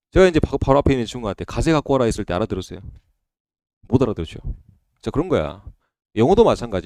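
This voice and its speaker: A man with a dark, mellow tone talks at a very fast pace with very wide pitch swings and long, frequent pauses, in a dry, close sound with no echo on a very clean recording with a silent background. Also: medium pitch for a man. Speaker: exam prep instructor. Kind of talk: lecture. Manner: casual, conversational.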